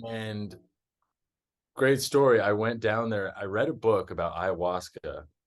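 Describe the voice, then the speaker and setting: Using an American accent, a man at medium pitch speaks at a fairly slow pace with long, frequent pauses. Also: ordinary pitch variation. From Texas. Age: 30s. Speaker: woodworker and traveler. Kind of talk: interview.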